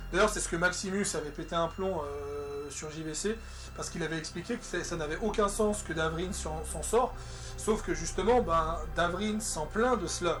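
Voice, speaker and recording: Music plays in the background. Over it, a man talks at a moderate pace. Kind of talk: casual game review talk. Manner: stutters.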